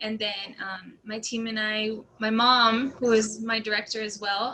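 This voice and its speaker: Background noise is noticeable. Over it, a woman speaks with a fairly high pitch. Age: 20s. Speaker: dancer and college student. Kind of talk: casual interview.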